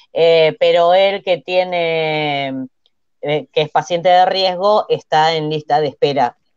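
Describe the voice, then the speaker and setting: Someone with an Argentine accent speaks at a very slow pace against a quiet background, the sound dry with no echo. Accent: Argentine Spanish (Rioplatense). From Argentina. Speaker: TV panelist. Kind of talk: casual chat. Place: home room. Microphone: earbuds.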